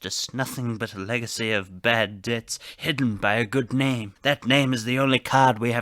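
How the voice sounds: Fairly even intonation in a natural reading voice.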